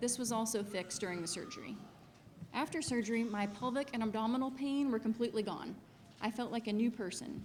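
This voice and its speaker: Over noticeable background noise, a speaker with an American accent talks at a very fast pace with ordinary pitch variation. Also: woman, fairly high pitch for a woman. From Missouri, US Midwest. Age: 30s. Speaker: patient. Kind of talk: testimony.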